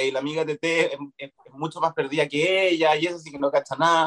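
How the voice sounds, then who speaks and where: A man's fairly high voice with a Chilean accent, lively intonation and a fairly quick pace, in dry, close sound with no echo. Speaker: actor. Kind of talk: casual interview chat.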